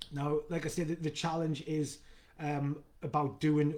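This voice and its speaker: A man talks with a Geordie accent and a fairly high pitch. His tone is dark and mellow. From northern England, Newcastle. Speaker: fitness coach. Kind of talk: live video Q&A. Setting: live stream. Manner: fast; halting with fillers and repeats.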